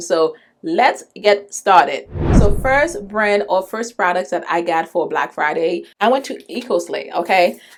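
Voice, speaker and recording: A woman's animated tone at medium pitch. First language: not English. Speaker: beauty vlogger. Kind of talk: product haul video.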